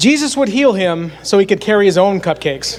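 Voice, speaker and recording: This man speaks with a Pennsylvania accent at a high pitch. His moderate pace carries very wide pitch swings. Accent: rural Pennsylvania American. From north central Pennsylvania. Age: 40s. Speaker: youth minister. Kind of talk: sermon.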